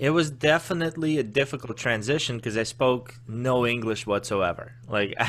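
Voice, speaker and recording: Over noticeable background noise, a man speaks with hardly any pauses and ordinary pitch variation. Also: medium pitch for a man, moderate pace. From Azerbaijan, then Baltimore from age ten. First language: Russian. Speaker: sales coach and Marine veteran. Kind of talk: podcast interview.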